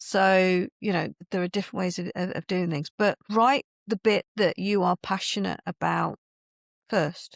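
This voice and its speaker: Recorded with a dry, close sound and no echo, a woman at medium pitch speaks fairly slowly with fairly even intonation. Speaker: book publisher and writing coach. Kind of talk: podcast interview.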